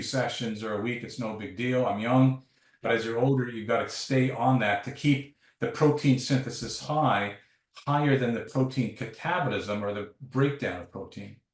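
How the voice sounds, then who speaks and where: Here a man speaks at a moderate pace in a medium pitch. His intonation is fairly even and his voice somewhat breathy. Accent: Canadian. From Canada. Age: 60s. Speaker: sports science professor. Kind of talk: interview.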